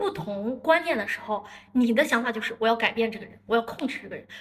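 Her words come out at a very fast pace as the woman speaks with a fairly high pitch. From northern China, Dalian. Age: 30s. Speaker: marketing entrepreneur. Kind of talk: casual chat.

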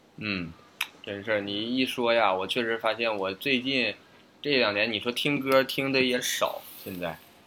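The man's medium-pitched voice, with ordinary pitch variation, moves fairly slowly against noticeable background noise. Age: late 20s. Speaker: podcast co-host. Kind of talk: casual chat. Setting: online remote recording.

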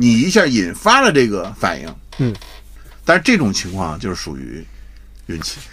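A man at a moderate pace, with long, frequent pauses, big swings in loudness and audible room echo. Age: middle-aged. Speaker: retired advertising executive. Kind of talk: casual chat.

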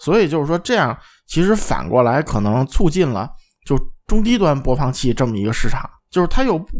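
The tone is slightly mellow, with big pitch swings. The pace is fairly quick. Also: man, fairly high pitch for a man.

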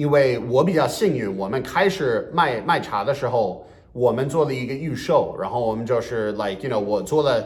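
A man with an English accent talks at a medium pitch and a moderate pace, with hardly any pauses. His intonation is lively, and audible room echo surrounds him. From US Northeast. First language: English (speaking Chinese). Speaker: bilingual comedian. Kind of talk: podcast interview.

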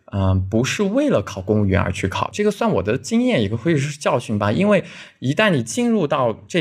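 A man's intonation is lively, captured in a very clean recording where the background is silent. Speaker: police officer. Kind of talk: interview, personal story. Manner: halting, many fillers.

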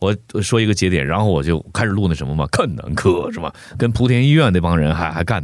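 A man with a very deep, low pitch talks at a very fast pace with lively intonation. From Heilongjiang, northeast China. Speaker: voice actor. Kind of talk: casual chat.

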